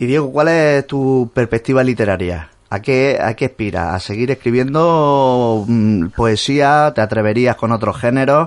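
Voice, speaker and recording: A man with a medium pitch and an unremarkable speaking voice talks at a fairly slow pace. His pitch varies in an ordinary way against a quiet background. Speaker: radio host. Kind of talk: radio interview. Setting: radio studio.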